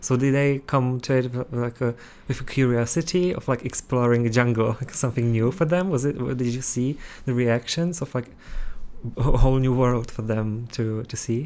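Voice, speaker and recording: This is a man with a Czech accent. His intonation stays fairly even. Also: medium pitch for a man, moderate pace. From Czech Republic. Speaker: student podcast host. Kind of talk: interview.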